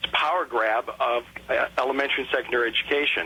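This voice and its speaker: A man speaks over noticeable background noise. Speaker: political candidate and lawyer being interviewed on radio. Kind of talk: radio interview answer, political talk.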